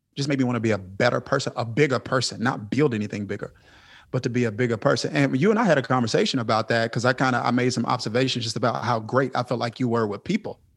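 A man talks very fast in a Southern US accent. His pitch is medium, with ordinary pitch variation. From US South, Mississippi. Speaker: pastor. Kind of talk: interview. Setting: video call.

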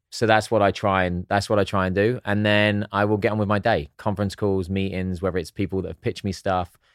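Someone with an English accent speaks very fast in a flat monotone, with hardly any pauses. The recording is very clean with a silent background, dry and close with no echo. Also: man, fairly low pitch for a man. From southern England (East Sussex). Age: 40s. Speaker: actor and entrepreneur. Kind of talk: casual chat.

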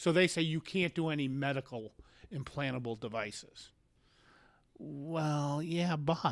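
Here a man with a plain, everyday voice speaks at a fairly high pitch and a fairly slow pace, with ordinary pitch variation. The recording is very clean, with a silent background. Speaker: insurance broker. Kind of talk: casual interview chat. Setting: studio.

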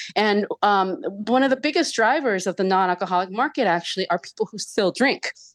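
With an unremarkable speaking voice, a woman talks at a fairly quick pace and medium pitch, with hardly any pauses, very even loudness and a dry, close sound with no echo. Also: lively intonation, quiet background. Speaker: journalist. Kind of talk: radio interview.

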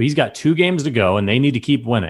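The pitch swings very widely. The speaker has a Midwestern American accent. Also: man. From US Midwest. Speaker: sports podcast host. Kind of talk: casual chat.

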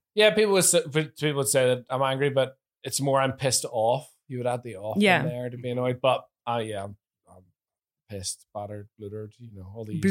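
The speaker has a Northern Irish accent and a moderate pace. Intonation is lively, with big swings in loudness. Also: man, medium pitch for a man. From Northern Ireland.

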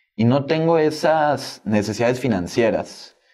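A man speaks with a normal speaking voice. His intonation is lively, while his pace is fairly slow. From Mexico (Tabasco, moved to Monterrey at 12). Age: 20s. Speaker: young entrepreneur and author. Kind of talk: casual interview.

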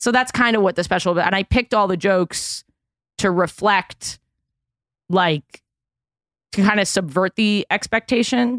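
In a New York accent, a woman speaks at a moderate pace and medium pitch with ordinary pitch variation, very even loudness, and long, frequent pauses, in a dry, close, very clean recording with a silent background. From New York City, Manhattan. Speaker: comedian. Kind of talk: casual chat.

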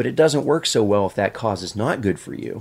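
In an American accent, an ordinary speaking voice talks at a moderate pace with lively intonation. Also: man. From Pennsylvania. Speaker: retired navy veteran. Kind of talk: casual chat.

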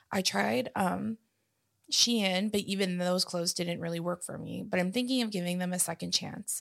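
Here is a plain, everyday voice at a fairly quick pace. Its pitch variation is ordinary. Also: woman. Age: 20s. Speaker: podcast co-host. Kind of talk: casual chat. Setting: studio.

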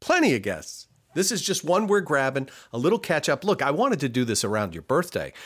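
A man speaks at a fairly high pitch with vocal fry and very wide pitch swings. The recording is very clean with a silent background. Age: 50s. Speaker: podcast producer and co-host. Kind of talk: casual chat. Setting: home studio.

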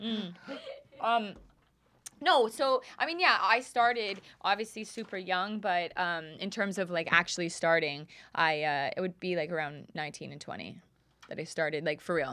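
Speaking in a Canadian accent, a woman uses an unremarkable speaking voice at a medium pitch and a moderate pace. Her intonation is lively and her loudness swings widely. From Canada, Calgary. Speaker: music producer. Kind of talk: casual chat. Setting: studio.

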